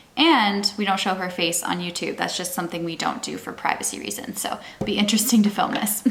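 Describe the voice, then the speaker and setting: A woman speaks at a very fast pace with hardly any pauses and ordinary pitch variation, over noticeable background noise. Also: medium pitch for a woman. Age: 30s. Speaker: parenting vlogger with type 1 diabetes. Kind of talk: casual vlog talk to camera.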